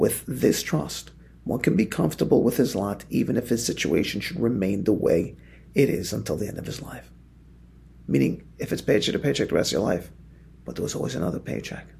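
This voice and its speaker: Over audible room echo, a man talks at a fairly quick pace in a fairly low, dark, mellow tone with vocal fry and very wide pitch swings. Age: 40s. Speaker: rabbi teaching a daily Torah class. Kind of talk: religious text study lecture. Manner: repeats words when speaking off the cuff.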